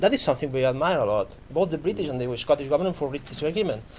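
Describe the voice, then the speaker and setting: This man's pitch sits fairly high. He has a Catalan accent. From Catalonia, Spain. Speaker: political representative. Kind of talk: panel interview. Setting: stage with audience.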